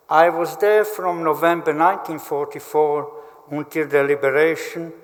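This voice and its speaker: With audible room echo, a man speaks at a fairly slow pace, his fairly high voice showing ordinary pitch variation. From Slovakia. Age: 80s+. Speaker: Holocaust survivor. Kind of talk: testimony. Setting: memorial ceremony hall.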